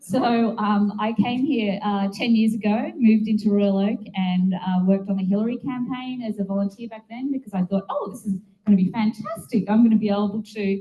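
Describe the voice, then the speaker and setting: An Australian accent at a fairly quick pace, with ordinary pitch variation. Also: woman. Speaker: political activist and media co-founder. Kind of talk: speech to a meeting. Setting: meeting room with audience. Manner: casual, animated.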